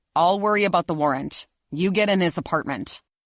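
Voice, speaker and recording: A growling put-on character voice with middle pitch moves at a fairly quick pace in a very clean recording with a silent background. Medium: read story. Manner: sarcastic, condescending.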